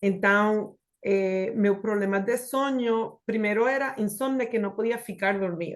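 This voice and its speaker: The speaker has a Spanish accent and talks at a fairly slow pace. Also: woman. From Puerto Rico. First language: Spanish (speaking Portuguese). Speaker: hotel HR executive, testimonial speaker. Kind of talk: testimony. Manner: halting, mixing Spanish and Portuguese.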